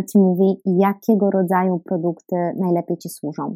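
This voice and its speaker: A woman with a dark, mellow tone speaks at a moderate pace. The recording is very clean with a silent background and a dry, close sound with no echo. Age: 20s. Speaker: dietitian and podcast host. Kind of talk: solo podcast monologue.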